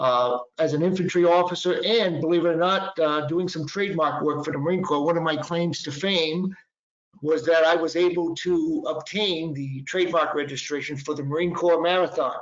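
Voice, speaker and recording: A Boston accent at a moderate pace, with fairly even intonation. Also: man, high pitch for a man. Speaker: patent and trademark attorney. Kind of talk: webinar presentation. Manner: halting, many fillers.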